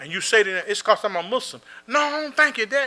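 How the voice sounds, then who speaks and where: A man's raised, projected voice with a bright, sharp tone at a very fast pace, on a very clean recording with a silent background. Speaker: imam. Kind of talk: Q&A talk.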